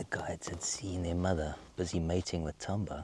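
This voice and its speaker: A man's very deep, low voice comes through at a moderate pace. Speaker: safari guide. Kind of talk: live wildlife commentary. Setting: outdoors on safari. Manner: halting.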